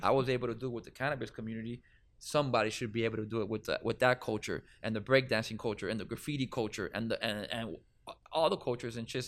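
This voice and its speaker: Speaking at a very fast pace with a Miami accent, a man keeps his medium-pitched voice at fairly even intonation on a very clean recording with a silent background. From Miami, Florida. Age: 30s. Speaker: cannabis event organizer. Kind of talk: casual interview. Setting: studio.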